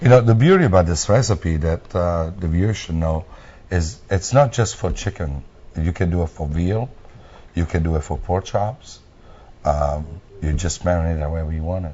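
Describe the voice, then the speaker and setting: A man's very deep, low, somewhat breathy voice with an Italian accent. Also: ordinary pitch variation, moderate pace. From Italy. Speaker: restaurant owner. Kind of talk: TV interview.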